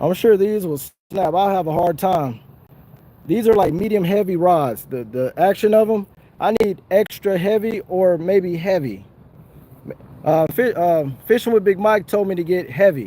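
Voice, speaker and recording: With an American accent, a man with a high pitch and a dark, mellow tone talks at a moderate pace with ordinary pitch variation. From Southern California. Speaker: fishing livestreamer. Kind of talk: casual livestream chat. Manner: animated.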